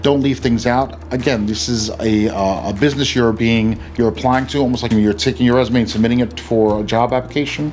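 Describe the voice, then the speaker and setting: A man at a medium pitch and fairly quick pace, with ordinary pitch variation and music in the background. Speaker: real estate attorney. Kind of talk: educational explainer video. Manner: fast; casual with many fillers.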